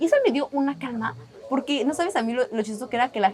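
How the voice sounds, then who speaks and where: Lively intonation from a woman, with noticeable background noise behind her. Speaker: podcast guest. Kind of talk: casual interview chat. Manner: fast.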